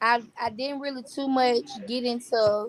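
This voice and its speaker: A woman with an American accent talks with fairly even intonation. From US South, Birmingham, Alabama. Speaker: singer-songwriter. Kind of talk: casual interview.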